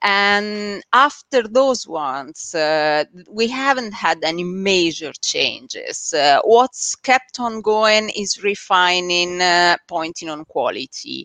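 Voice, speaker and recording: Bright and sharp in tone, the voice has a strong Italian accent and lively intonation, moving at a very slow pace with hardly any pauses. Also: woman, medium pitch for a woman. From Italy. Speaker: SEO agency founder. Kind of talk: interview on a live stream. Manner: hesitant, many filler sounds.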